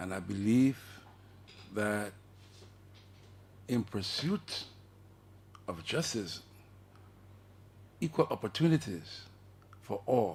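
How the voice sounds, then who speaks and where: Speaking very slowly with long, frequent pauses, a man with a fairly low, somewhat breathy voice uses lively intonation. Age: 70s. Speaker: activist. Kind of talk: radio talk show discussion.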